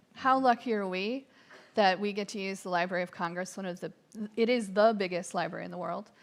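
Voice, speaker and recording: A woman with an American accent speaks at a moderate pace and medium pitch, with ordinary pitch variation, on a very clean recording with a silent background. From Massachusetts. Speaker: capitol tour guide. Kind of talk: live event commentary. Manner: hesitant fillers (um).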